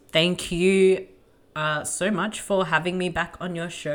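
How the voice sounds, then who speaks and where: A woman with an Australian accent, fairly low in pitch, at a fairly slow pace. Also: very clean recording, silent background. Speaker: podcaster. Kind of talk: casual chat.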